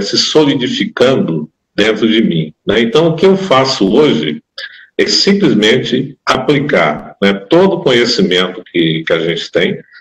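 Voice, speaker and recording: Speaking fairly slowly, the man keeps a medium pitch. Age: 60s. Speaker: condominium manager. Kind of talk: interview.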